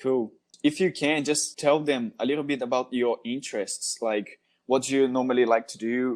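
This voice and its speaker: A man with a Brazilian Portuguese accent, moderate pace and fairly even intonation. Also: medium pitch for a man. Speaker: podcast host. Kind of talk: casual interview chat.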